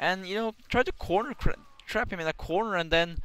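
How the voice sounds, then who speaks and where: The man has a Norwegian accent, talking at a moderate pace with ordinary pitch variation. The recording is very clean, with a silent background. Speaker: gaming commentator. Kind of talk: gameplay commentary. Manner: halting, many restarts; casual.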